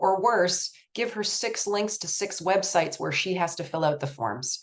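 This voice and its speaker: In a Canadian accent, a woman talks at a medium pitch. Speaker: research nonprofit executive director and presenter. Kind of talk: presentation. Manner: fast.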